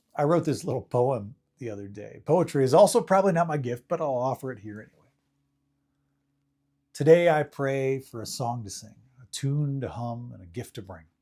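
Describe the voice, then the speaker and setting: A man with a medium pitch and a dark, mellow tone speaks at a fairly quick pace with lively intonation, big swings in loudness and long, frequent pauses, on a very clean recording with a silent background. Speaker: professional speaker, faith-community minister. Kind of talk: short sermon / reflective talk to camera. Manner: conversational, self-deprecating, reflective.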